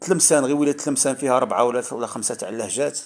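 A man at a very fast pace. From Algeria, Oran. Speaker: YouTuber, commentator. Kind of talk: casual vlog monologue. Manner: halting, many repetitions and fillers.

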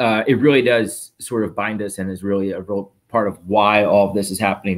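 A plain, everyday voice with an American accent, fairly even intonation and a fairly quick pace, on a very clean recording with a silent background. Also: man. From Philadelphia, US. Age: 40s. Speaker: entrepreneur, marketplace founder. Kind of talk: casual interview.

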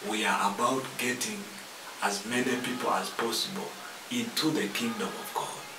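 A man speaks fairly slowly, with noticeable noise in the background. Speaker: preacher hosting a TV ministry program. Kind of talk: sermon. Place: studio.

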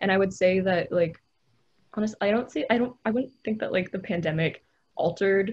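Somewhat breathy and with fairly even intonation, the speaker uses a General American accent against a quiet background. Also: woman. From US West Coast. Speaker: college student; panelist. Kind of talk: casual discussion. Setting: video call. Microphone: video call.

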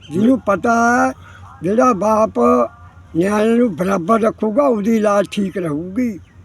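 A high-pitched man with ordinary pitch variation and very even loudness, over noticeable background noise. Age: 80s+. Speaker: elderly villager interviewee. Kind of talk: interview.

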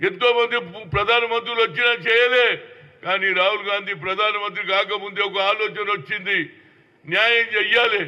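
A man's high-pitched voice at very even loudness. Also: fairly even intonation. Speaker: politician. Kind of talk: political statement to the press.

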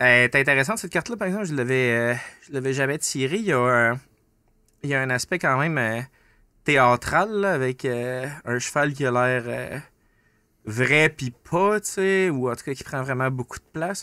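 Medium-pitched man's voice, bright and sharp, at a moderate pace with ordinary pitch variation, long, frequent pauses and big swings in loudness, dry with no echo against a quiet background. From northern Quebec. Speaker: podcast host. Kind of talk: casual chat. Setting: studio. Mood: relaxed, reflective. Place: studio. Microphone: studio mic.

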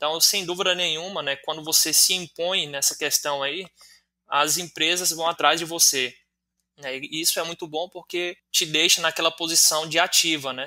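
A man talks at a moderate pace with a high pitch. His tone is bright and sharp, and his intonation is monotone and flat. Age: 20s. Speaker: teacher and online student. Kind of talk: interview answers.

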